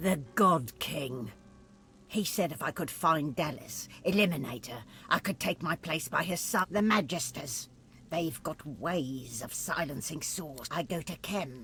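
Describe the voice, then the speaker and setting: A put-on character voice at middle pitch goes along at a fairly slow pace. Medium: video game. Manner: bitter, hissing hatred.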